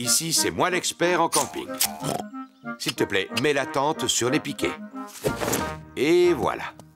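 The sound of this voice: In a cartoonish character voice, a man speaks at a fairly slow pace with big pitch swings and medium pitch for a man. His fairly bright tone has a slightly husky edge, and faint music plays in the background.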